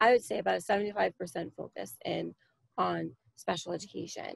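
A woman with an American accent is heard in a dry sound with no echo. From Long Island, New York; New York. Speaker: PTA parent volunteer. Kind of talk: workshop discussion. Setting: video call. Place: home room. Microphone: video call.

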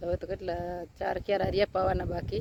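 A woman's voice carries a dark, mellow tone with vocal fry. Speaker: farmer vlogger. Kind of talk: casual vlog narration.

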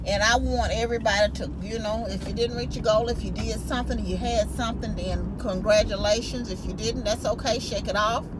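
A woman talks at a moderate pace over loud background noise. The sound is dry, without echo. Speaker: vlogger. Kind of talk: casual vlog chat. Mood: upbeat, encouraging. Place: car. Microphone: phone near.

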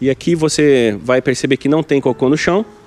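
With music in the background, a man talks at a moderate pace and with ordinary pitch variation. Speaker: travel vlogger. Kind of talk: casual vlog chat. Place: waterside. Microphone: phone near.

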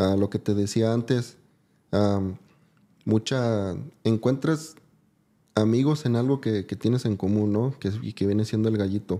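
Speaking at a fairly slow pace with long, frequent pauses, a man uses a fairly low pitch, a dark, mellow tone and ordinary pitch variation. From Mexico, Jalisco (Ojuelos); Jalisco. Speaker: gamefowl breeder; podcast guest. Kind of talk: interview. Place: studio. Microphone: studio mic.

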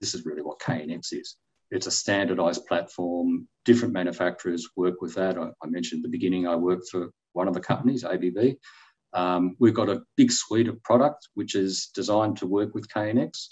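A man speaks at a moderate pace in a very deep, low voice against a quiet background. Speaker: guest. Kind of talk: interview answer. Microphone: video call.

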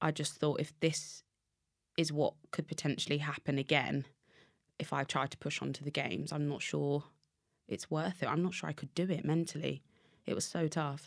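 Against a quiet background, a woman with a very deep, low pitch and vocal fry speaks in a monotone, flat intonation, leaving long, frequent pauses. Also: moderate pace. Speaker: podcast guest. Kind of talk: interview answer. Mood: reflective, recalling a hard time. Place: studio. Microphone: studio mic.

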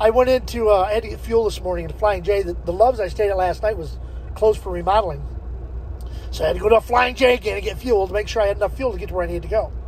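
A man talks at a very fast pace. The sound is dry with no echo, and light background noise is present. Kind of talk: casual vlog chat. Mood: joking, laughing often. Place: car. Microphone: phone near.

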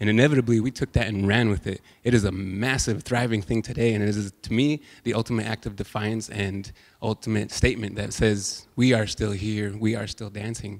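Against a quiet background, someone with an American accent speaks at a moderate pace with fairly even intonation. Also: man. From US West Coast. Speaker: guest. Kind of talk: panel talk. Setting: stage with audience. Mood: earnest, proud. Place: hall. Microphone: handheld.

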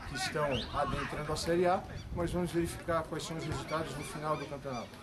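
A man races along at a very fast pace despite loud background noise. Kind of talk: interview answer. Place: stadium.

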